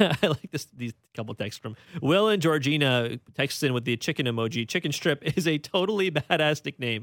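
Using an ordinary speaking voice, a man speaks at a moderate pace with a fairly high pitch and lively intonation, the sound dry and close with no echo. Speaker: radio host. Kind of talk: casual sports talk radio with call-ins. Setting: radio studio with phone calls.

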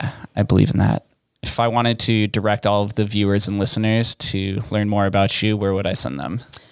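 An unremarkable speaking voice from a man with an American accent, fairly low in pitch, at a fairly quick pace with fairly even intonation. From Las Vegas, US. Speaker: podcast host. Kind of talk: interview. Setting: studio.

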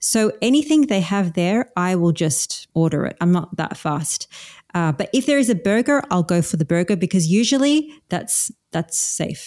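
A woman speaks with an Australian accent and very wide pitch swings. The recording is very clean with a silent background, dry and close with no echo. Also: medium pitch for a woman, moderate pace. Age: 40s. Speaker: carnivore diet coach. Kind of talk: casual interview.

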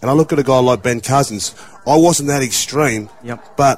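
A man with an Australian accent talks at a fairly high pitch with ordinary pitch variation, over noticeable background noise. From Australia, regional New South Wales. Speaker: former rugby league player, radio pundit. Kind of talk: radio discussion, personal testimony.

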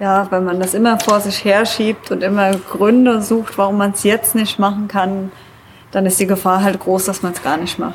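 Noticeable background noise behind monotone, flat intonation at a moderate pace. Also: woman, medium pitch for a woman. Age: 30s. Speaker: traveler and climber. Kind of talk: casual interview. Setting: event at a museum summer festival.

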